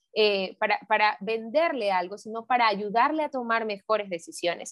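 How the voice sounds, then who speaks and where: This woman has a normal speaking voice, a fairly high pitch and a moderate pace. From Santa Ana. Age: 20s. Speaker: entrepreneur and sales coach. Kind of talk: interview.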